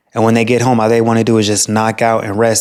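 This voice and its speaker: A man's voice at a medium pitch. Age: 30s. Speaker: relationship vlogger. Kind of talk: casual vent monologue.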